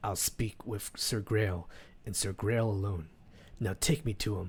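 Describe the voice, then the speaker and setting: Putting on a character voice, a man speaks at a fairly low pitch and a moderate pace with ordinary pitch variation. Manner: commanding.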